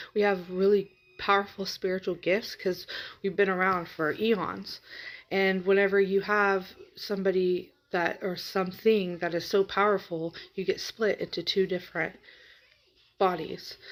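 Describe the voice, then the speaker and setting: A woman speaks quietly at a moderate pace and medium pitch, her intonation flat and monotone, in a very clean recording with a silent background. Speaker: spiritual reader. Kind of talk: casual vlog talk.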